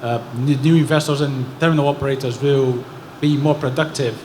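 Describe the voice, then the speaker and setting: A man speaks at a moderate pace in a fairly high, monotone voice with flat intonation. Noticeable background noise and audible room echo fill the recording. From Brazil. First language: Portuguese. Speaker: audience member asking a question. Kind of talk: audience question.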